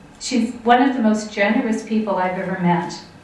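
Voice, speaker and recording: A woman's voice with audible room echo. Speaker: event host introducing an author. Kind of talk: speaker introduction. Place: hall.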